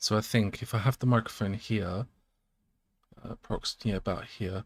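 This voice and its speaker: A soft-spoken, somewhat breathy man's voice, fairly low in pitch, with fairly even intonation at a moderate pace, the sound dry and close with no echo. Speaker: electronics hobbyist streamer. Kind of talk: casual live setup talk.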